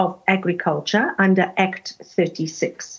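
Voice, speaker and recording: Over a quiet background, a woman talks in a somewhat breathy voice. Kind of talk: interview answer. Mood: calm, explanatory. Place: home room. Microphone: video call.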